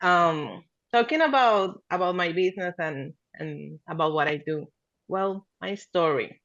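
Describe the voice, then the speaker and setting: With a Spanish accent, a woman speaks at a medium pitch. Her pace is fairly slow. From Venezuela. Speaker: marketing agency founder. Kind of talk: podcast interview.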